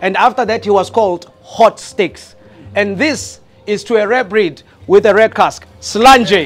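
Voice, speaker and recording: Faint music plays in the background as a man talks at a high pitch. His pace is fairly slow, with ordinary pitch variation. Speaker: host giving a toast. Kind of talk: toast speech. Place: bar.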